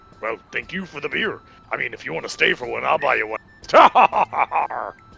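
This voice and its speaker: Over faint music in the background, a man performs a put-on character voice at a moderate pace. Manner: gruff, pirate-like.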